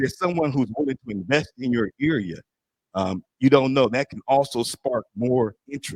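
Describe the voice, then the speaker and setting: At a moderate pace, a man speaks in a medium pitch with ordinary pitch variation, the sound dry and close with no echo. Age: 60s. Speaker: small business advisor. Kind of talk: community meeting speech.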